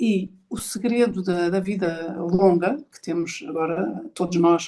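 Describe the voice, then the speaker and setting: A woman with a European Portuguese accent speaks very slowly in a dark, mellow tone at medium pitch, with ordinary pitch variation and big swings in loudness. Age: 60s. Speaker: podcast host and speaker on ageing. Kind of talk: online talk session. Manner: halting, with many repetitions.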